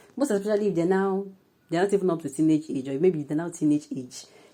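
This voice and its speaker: The voice has a dark, mellow tone and a Nigerian accent. Its pitch varies in an ordinary way. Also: woman. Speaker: news presenter and commentator. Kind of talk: news reading; casual commentary. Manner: halting.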